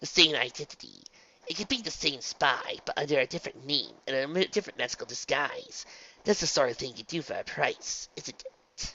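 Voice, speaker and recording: A man's put-on character voice at a fairly high pitch and a fairly quick pace. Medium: read story.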